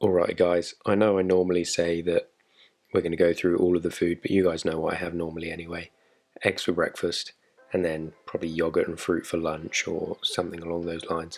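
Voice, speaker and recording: A man speaks softly at a fairly quick pace, with an English accent. His very deep, low voice stays monotone and flat. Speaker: fitness vlogger. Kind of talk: tutorial. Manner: soft-spoken.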